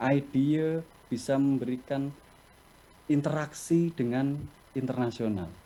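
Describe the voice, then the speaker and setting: In a Javanese accent, a man speaks at a very slow pace with a dark, mellow tone. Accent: Javanese accent in his English. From Java, Indonesia. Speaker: company executive, webinar speaker. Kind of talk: webinar talk, answering questions. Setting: video call.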